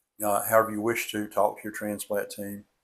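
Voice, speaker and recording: A man's fairly low voice at a moderate pace, monotone and flat, on a very clean recording with a silent background. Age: 70s. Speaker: retired heart transplant recipient vlogger. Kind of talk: informal advice talk. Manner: hesitant, many fillers.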